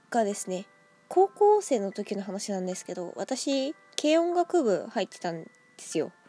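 Music plays in the background as a woman speaks at a fairly slow pace. Her fairly high voice moves through very wide pitch swings. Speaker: solo podcaster. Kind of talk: casual solo talk. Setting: at home with cat on lap. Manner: animated, high-energy; stumbles over words, frequent laughter.

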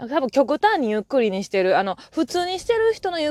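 A woman with a Kansai accent speaks over noticeable background noise. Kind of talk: casual monologue. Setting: in a car while driving. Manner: usually loud, keeping voice down today. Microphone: new earphone mic.

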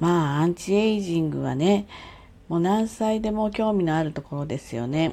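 In an unremarkable speaking voice, a woman talks at a moderate pace with a fairly low pitch and lively intonation. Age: 60s. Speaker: podcaster. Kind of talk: casual solo monologue. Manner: chatty, friendly.

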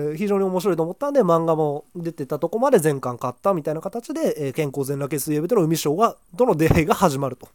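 Fairly quick speech fills the clip. The speaker is a man. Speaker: podcaster reviewing manga. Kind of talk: solo casual talk. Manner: fast.

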